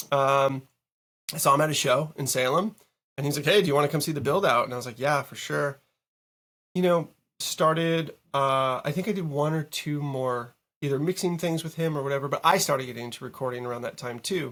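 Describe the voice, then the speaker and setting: Using an ordinary speaking voice, a man with an American accent talks at a fairly quick pace, with fairly high pitch and ordinary pitch variation. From Massachusetts, Boston area. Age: 40s. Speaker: music producer. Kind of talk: casual interview. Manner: casual, filler-heavy.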